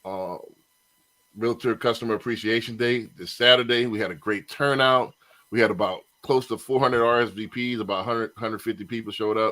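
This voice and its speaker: With a bright, sharp tone, a man talks at a fairly quick pace and medium pitch, keeping his intonation fairly even. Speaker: podcast host and mortgage loan officer. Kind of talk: casual podcast chat. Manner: casual, conversational.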